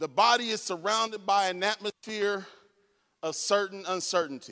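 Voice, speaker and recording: In a raised, projected voice, a man talks at a moderate pace with a high pitch and a bright, sharp, animated tone. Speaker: conference speaker. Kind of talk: lecture.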